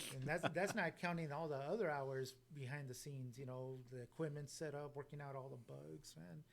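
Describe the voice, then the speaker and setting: Here is a plain, everyday voice from a man with fairly high pitch and ordinary pitch variation. He talks at a fairly quick pace with hardly any pauses. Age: 40s. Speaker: podcast host. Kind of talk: casual chat. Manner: relaxed.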